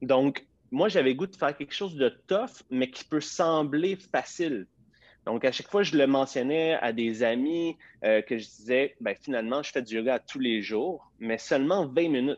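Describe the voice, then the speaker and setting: Against a quiet background, a man with a Quebec accent speaks at a fairly slow pace in a fairly high pitch. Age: 30s. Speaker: fitness entrepreneur. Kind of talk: interview. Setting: live video stream.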